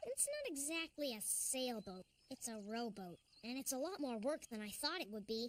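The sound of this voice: A cartoonish character voice, female-sounding and high in pitch. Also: moderate pace.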